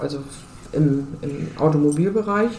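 A fairly slow pace amid noticeable background noise and audible room echo. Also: woman. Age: 50s. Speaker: car dealership co-owner and managing director. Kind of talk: interview.

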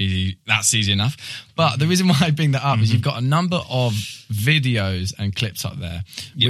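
In a plain, everyday voice, a man talks at medium pitch with lively intonation. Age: 20s. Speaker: poetry podcast host. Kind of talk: casual interview chat. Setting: studio.

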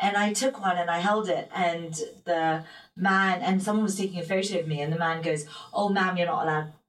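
The speaker talks at a fairly quick pace in a London accent. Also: woman, medium pitch for a woman. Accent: British English, London. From London, England. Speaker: singer and motivational speaker. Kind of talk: casual interview chat.

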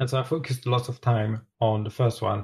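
Speaking at a moderate pace in a French accent, a man with a medium pitch sounds somewhat breathy, his intonation monotone and flat. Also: very clean recording, silent background. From France. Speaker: TV sewing competition contestant. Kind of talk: casual chat.

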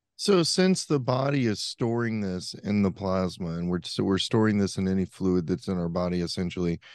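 With an American accent, a man talks at a moderate pace in an ordinary speaking voice. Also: quiet background. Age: 40s. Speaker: podcast host. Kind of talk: casual interview chat.

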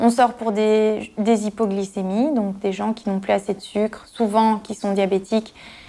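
A woman speaks fairly slowly at medium pitch. Her tone is dark and mellow, with monotone, flat intonation. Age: 30s. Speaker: emergency nurse. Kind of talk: interview.

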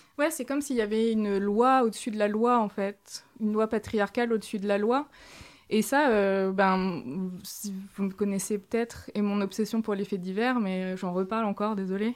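A woman of medium pitch with a plain, everyday voice, moderate pace and ordinary pitch variation. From France, small village. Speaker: author and feminist activist. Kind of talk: interview.

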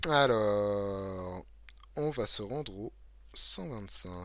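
On a very clean recording with a silent background, a man speaks with an eastern French accent. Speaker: game master and podcast host. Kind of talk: reading aloud a gamebook; casual live-stream chat. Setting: live stream with chat.

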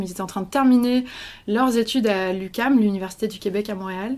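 Speaking at a fairly quick pace, a woman uses a fairly high pitch. Her pitch varies in an ordinary way. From France. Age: 20s. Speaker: journalist. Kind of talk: interview. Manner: hesitant.

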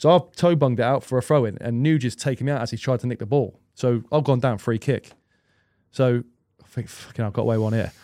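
Talking at a very fast pace with an English accent, a man has a dark, mellow tone and ordinary pitch variation in a very clean recording with a silent background. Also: medium pitch for a man. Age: 30s. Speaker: professional football goalkeeper. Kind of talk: casual chat.

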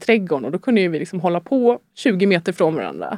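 A woman's medium-pitched voice, dark and mellow in tone, with vocal fry and a fairly quick pace. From Sweden, Stockholm area. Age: 30s. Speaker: guest sharing life story. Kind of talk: personal testimony in interview. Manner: hesitant, many fillers.

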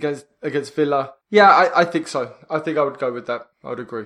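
An unremarkable speaking voice moves at a fairly quick pace with ordinary pitch variation against a quiet background. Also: man. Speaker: podcast co-host. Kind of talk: casual chat.

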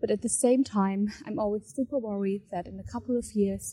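A woman's somewhat breathy voice, dark and mellow in tone, sits at medium pitch and moves at a moderate pace with ordinary pitch variation. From Germany. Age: 20s. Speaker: listener with a question. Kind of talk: recorded voice message. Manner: halting.

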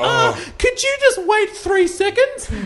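A squeaky, put-on character voice at an extremely high pitch speaks at a fairly slow pace over clear background noise. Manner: impatient, exasperated.

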